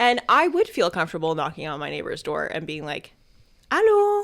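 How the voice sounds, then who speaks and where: At a moderate pace, a woman's pitch swings very widely. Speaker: podcast co-host. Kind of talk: casual chat.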